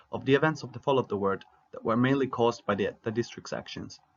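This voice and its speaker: A man with a non-native accent talks at a very fast pace with ordinary pitch variation. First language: not English. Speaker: fan fiction narrator. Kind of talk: scripted narration.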